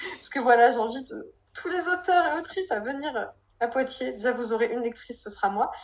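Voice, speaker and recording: A woman's high-pitched voice with lively intonation at a fairly quick pace. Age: 20s. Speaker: novelist and physiotherapist. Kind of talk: casual interview. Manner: hesitant, many fillers.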